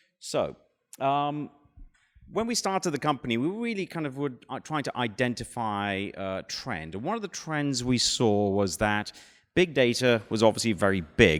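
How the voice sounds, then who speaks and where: A speaker with a British accent talks at a moderate pace with very wide pitch swings. The recording is very clean, with a silent background. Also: man, medium pitch for a man. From Britain. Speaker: startup founder. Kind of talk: conference talk. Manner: hesitant, many fillers.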